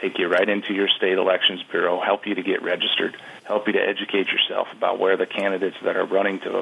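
This speaker has an American accent and moves at a fairly quick pace. Noticeable background noise runs underneath. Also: man. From Wisconsin, US Upper Midwest. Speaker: advocacy group CEO, hunter. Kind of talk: radio interview.

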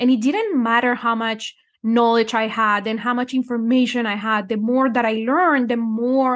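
A woman with a Spanish accent talks at a moderate pace in a fairly high pitch over a quiet background. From Colombia. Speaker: numerology and manifestation coach. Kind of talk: casual interview.

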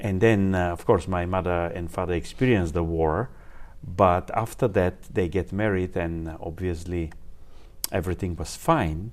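A man with a Bulgarian accent speaks at a moderate pace. His very deep, low pitch shows ordinary variation. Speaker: engineer and applied physicist. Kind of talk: interview. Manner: halting.

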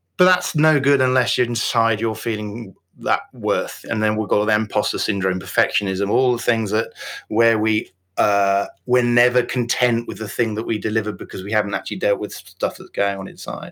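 Using a West Yorkshire accent, a man speaks at a medium pitch with ordinary pitch variation, on a very clean recording with a silent background. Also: moderate pace. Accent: Yorkshire (West Yorkshire, near Wakefield). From Yorkshire, northern England. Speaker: business coach and author. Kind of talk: interview podcast, casual chat.

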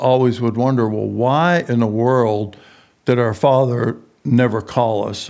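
A man with a Texan accent talks at a very slow pace, his intonation fairly even. The recording is very clean, with a silent background. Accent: Texan Southern US. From Texas. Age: 70s. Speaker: prison minister. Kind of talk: interview.

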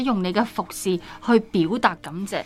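A woman speaks at a fairly slow pace in a medium pitch with ordinary pitch variation and a normal speaking voice. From Hong Kong. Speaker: podcast host. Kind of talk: Bible study discussion.

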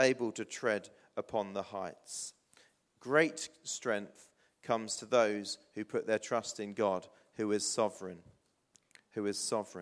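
The recording is very clean, with a silent background. A man speaks at medium pitch and a fairly slow pace, with long, frequent pauses. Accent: southern English. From southern England, Hampshire (New Forest). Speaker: pastor. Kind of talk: sermon. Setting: church.

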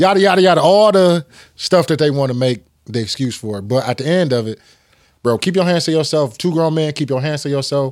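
Over a very clean recording with a silent background, an ordinary speaking voice with an American accent moves at a fairly quick pace with lively intonation. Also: man, fairly high pitch for a man. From Michigan. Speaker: sports podcast host. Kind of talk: casual chat.

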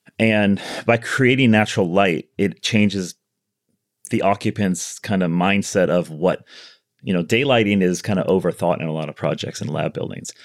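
A man with an American accent and an unremarkable speaking voice talks at a moderate pace and fairly low pitch with ordinary pitch variation, in a very clean recording with a silent background. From US Midwest (Chicago). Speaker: architect. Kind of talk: casual interview.

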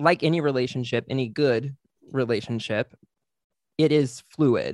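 With a plain, everyday voice, a man speaks at a medium pitch and a moderate pace. The sound is dry and close, without echo. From Texas, small town near Fort Worth. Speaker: podcaster and theater person. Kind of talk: casual chat. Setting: video call.

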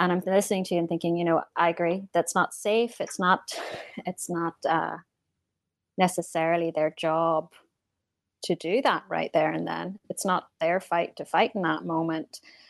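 With an unremarkable speaking voice, fairly even intonation and a moderate pace, the speech has a dry, close sound with no echo over a quiet background. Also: woman, fairly low pitch for a woman. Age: adult. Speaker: works with youth on a hospital unit. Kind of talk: casual chat.

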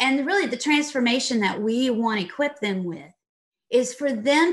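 A woman's high-pitched voice with a slight Texas accent and ordinary pitch variation. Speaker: leadership consultant and author. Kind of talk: interview.

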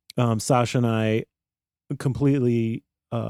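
In a dry, close sound with no echo, a man with a dark, mellow tone and medium pitch speaks at a fairly slow pace in a monotone, flat intonation. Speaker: sound mixer. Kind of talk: casual chat. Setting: studio.

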